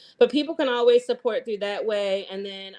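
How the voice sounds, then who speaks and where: A woman's fairly high-pitched voice with a Southern accent, on a very clean recording with a silent background. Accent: Southern, y'alls. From US South, Eastern North Carolina. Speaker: chef and community farmer. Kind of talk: podcast interview. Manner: casual, many filler words.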